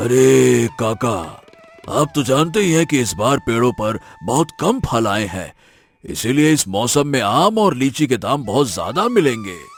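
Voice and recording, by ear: A man's cartoonish character voice at a medium pitch and moderate pace, with faint music in the background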